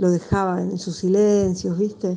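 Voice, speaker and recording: A woman speaks fairly slowly in a dark, mellow tone. Her intonation stays fairly even. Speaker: film director. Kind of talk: interview.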